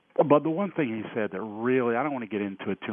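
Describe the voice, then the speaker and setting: The speaker is a man with a medium pitch. His intonation is lively. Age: 60s. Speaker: caller. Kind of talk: call-in opinion. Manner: halting.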